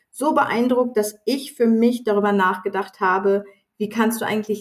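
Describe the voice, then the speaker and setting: Her voice sits at a medium pitch for a woman. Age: 40s. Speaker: sales professional and diversity ambassador. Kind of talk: interview. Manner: halting.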